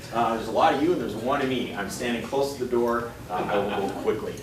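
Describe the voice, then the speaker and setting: Very fast speech from a man with an American accent, medium pitch and ordinary pitch variation, amid audible room echo and noticeable background noise. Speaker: FAA aviation safety official giving a talk. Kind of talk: presentation to a meetup audience. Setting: restaurant meeting room, live audience. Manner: loud. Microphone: no microphone.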